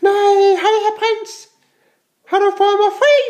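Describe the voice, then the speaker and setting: A cartoonish character voice sounds squeaky at an extremely high pitch. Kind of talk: playful puppet play. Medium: puppet show.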